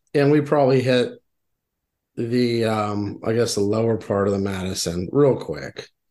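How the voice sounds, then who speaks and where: A man with an American accent has a plain, everyday voice with ordinary pitch variation. He speaks at a moderate pace against a quiet background. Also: medium pitch for a man. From Texas, Houston. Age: 40s. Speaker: podcast co-host, angler. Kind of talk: casual chat.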